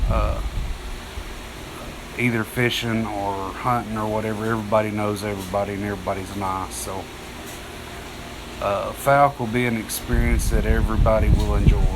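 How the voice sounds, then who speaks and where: Someone with an East Texas accent speaks at a moderate pace with long, frequent pauses, amid noticeable background noise and audible room echo. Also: man. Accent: East Texas Southern US. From northeast Texas (Texarkana area). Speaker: outdoorsman livestreamer. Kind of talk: casual live stream chat. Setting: live stream. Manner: halting, many fillers.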